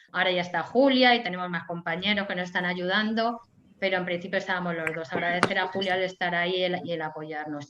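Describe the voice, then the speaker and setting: This woman has an unremarkable speaking voice at a medium pitch. Her pitch varies in an ordinary way. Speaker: historian and lecturer. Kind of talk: lecture.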